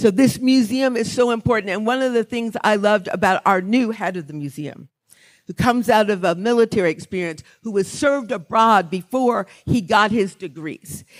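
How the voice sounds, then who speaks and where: A woman's unremarkable speaking voice with an American accent, fairly high pitch, ordinary pitch variation and a moderate pace, on a very clean recording with a silent background. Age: 60s. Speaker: author and songwriter, award honoree. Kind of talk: award acceptance speech. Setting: stage with audience at a gala.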